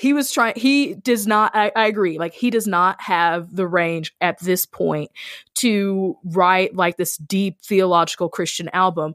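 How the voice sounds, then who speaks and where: With an American accent and a normal speaking voice, a woman talks at a fairly slow pace and medium pitch with ordinary pitch variation, on a very clean recording with a silent background. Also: dry, close sound with no echo. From rural US. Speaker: podcast host and ministry worker. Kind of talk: casual chat.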